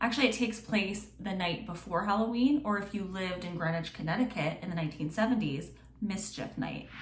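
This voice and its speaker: Noticeable background noise and audible room echo surround a woman. She talks very fast at a medium pitch with ordinary pitch variation. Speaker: true crime podcaster. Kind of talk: true crime storytelling. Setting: home recording, on video and podcast. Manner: casual, chatty.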